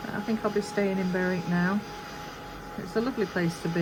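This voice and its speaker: A woman with a Yorkshire accent, fairly even intonation and a fairly quick pace, over noticeable background noise. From Yorkshire, England. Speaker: crafter and video creator. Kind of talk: casual chat while crafting.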